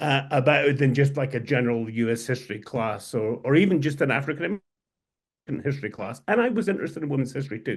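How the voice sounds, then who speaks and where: Over a quiet background, a man with a Scottish accent speaks at a very fast pace and fairly high pitch, somewhat breathy, with ordinary pitch variation. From Scotland. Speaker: historian and editor. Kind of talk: interview conversation. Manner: halting.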